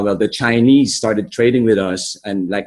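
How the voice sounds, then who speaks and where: The sound is dry and close, with no echo. A man with an American accent speaks with fairly even intonation. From Philippines. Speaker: workshop participant. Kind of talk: group discussion. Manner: halting.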